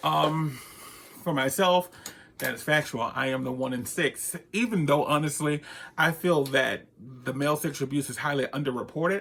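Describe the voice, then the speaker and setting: Fairly high in pitch, this man speaks with ordinary pitch variation. His pace is moderate. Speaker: counselor. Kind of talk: personal testimony vlog. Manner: soft-spoken.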